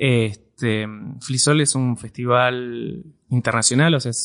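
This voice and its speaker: In a Rioplatense accent, a man speaks at a fairly slow pace and medium pitch with ordinary pitch variation against a quiet background. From Argentina. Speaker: computer science teacher. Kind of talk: interview. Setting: university.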